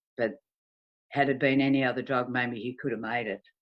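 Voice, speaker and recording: With an Australian accent, a woman talks at a moderate pace in a very deep, low pitch. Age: 60s. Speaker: bereaved mother in recovery. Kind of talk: testimony.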